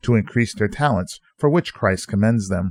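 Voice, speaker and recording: A man's unremarkable speaking voice at a medium pitch, with lively intonation, a fairly quick pace, and a dry, close sound with no echo. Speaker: pastor. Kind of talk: sermon-style radio teaching.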